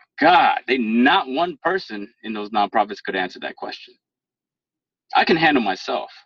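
A man's medium-pitched voice with an American accent at a moderate pace, very wide pitch swings and big swings in loudness, in a dry, close sound with no echo. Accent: proper professional. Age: 30s. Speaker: former IT worker. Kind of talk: casual interview. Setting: phone call.

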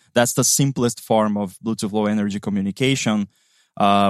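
At a moderate pace, a man speaks with a fairly low pitch. His intonation is fairly even. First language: Portuguese. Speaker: app developer. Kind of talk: technical interview chat.

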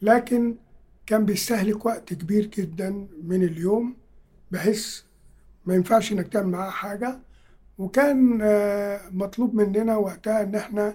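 Long pauses come often as the talking proceeds at a rather unhurried speed. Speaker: translator and professor of Russian. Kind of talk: interview.

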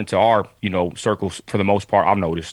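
The words come out very rapidly. This man has an American accent. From West Texas. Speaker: conservative activist and social media personality. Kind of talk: casual interview chat. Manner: animated.

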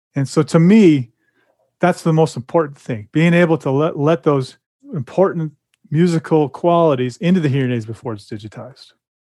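This man's dark, mellow voice sits at a fairly high pitch, moving at a fairly quick pace with ordinary pitch variation in a dry, close sound with no echo. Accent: American. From California. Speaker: hearing aid company representative. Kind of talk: casual interview.

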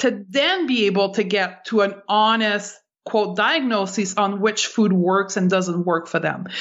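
A woman speaks in a normal speaking voice at medium pitch, fairly slowly, with ordinary pitch variation and very even loudness. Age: 40s. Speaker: clinical nutritionist and intuitive eating expert. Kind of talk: interview.

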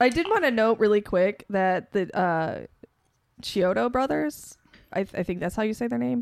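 A woman with an American accent speaks at a moderate pace and medium pitch. Her pitch swings very widely. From Chicago. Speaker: film set crew worker. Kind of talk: casual chat.

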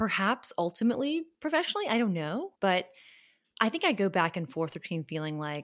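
In a normal speaking voice with an American accent, the speaker moves at a fairly quick pace with lively intonation. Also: woman. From US South, Charleston, South Carolina. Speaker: podcast host, lawyer. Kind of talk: casual conversation.

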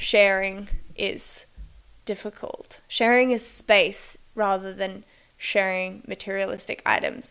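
A woman with a medium-pitched voice speaks at a very slow pace in a very clean recording with a silent background. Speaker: podcaster. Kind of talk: casual monologue. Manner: casual, filler-heavy.

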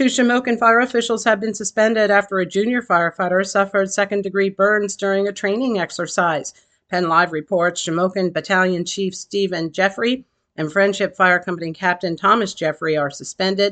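With a normal speaking voice, a woman talks at a fairly quick pace, medium in pitch with ordinary variation, over a quiet background. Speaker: local news anchor. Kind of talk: formal news reading, brisk headline bulletin read from a script. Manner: formal; even, steady, authoritative delivery.

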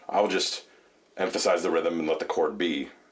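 A man's voice with noticeable background noise. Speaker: bass player and singer. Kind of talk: casual chat. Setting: studio.

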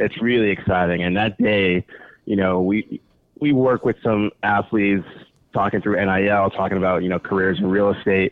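With an American accent, a man speaks in a very deep, low pitch. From New York City, the Bronx. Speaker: real estate agent. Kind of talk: casual chat.

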